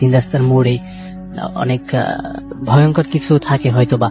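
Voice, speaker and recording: A man's voice with music in the background. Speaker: caller sharing a personal ghost story. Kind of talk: radio call-in storytelling. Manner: hesitant, many filler sounds.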